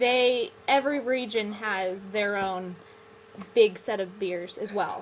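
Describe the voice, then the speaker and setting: A woman speaks with an American accent in a fairly high pitch. Noticeable background noise sits behind her. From United States. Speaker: guest who lived in Australia. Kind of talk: casual chat. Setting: live video broadcast.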